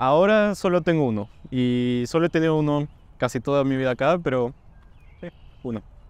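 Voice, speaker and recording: Captured with a dry sound and no echo, a man with a fairly high pitch and ordinary pitch variation talks at a fairly quick pace but leaves long, frequent pauses. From Peru, Cajamarca; Peru. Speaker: university student. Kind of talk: interview Q&A. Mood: friendly, relaxed. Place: street.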